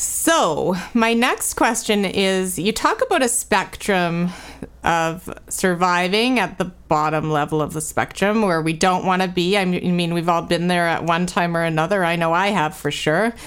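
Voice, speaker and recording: This woman has a normal speaking voice, a fairly low pitch, and ordinary pitch variation. Her pace is moderate and her loudness very even. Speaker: podcast host. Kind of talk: interview conversation.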